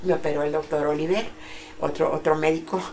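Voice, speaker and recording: Fairly low in pitch and fairly even in intonation, a woman speaks against noticeable background noise. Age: 70s. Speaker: grandmother sharing life story. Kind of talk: interview, personal testimony.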